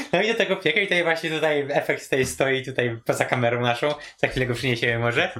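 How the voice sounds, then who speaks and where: A man talking at a very fast pace, lively intonation and very even loudness, with noticeable background noise. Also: fairly high pitch for a man, hardly any pauses. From rural Poland. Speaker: programmer and home cook. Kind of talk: casual chat. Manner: halting, many fillers.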